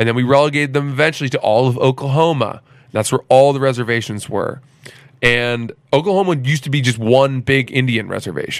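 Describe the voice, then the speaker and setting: With an American accent, a man speaks at a fairly quick pace and medium pitch in a plain, everyday voice with ordinary pitch variation. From Maine, US (Freeport). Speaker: comedian and podcaster. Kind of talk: casual chat. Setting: host's apartment.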